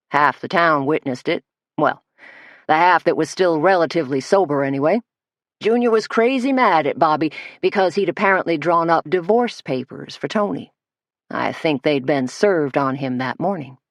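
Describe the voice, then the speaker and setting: Gruff put-on character voice at a middle pitch and moderate pace, over a quiet background. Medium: read story. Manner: gruff, deliberate.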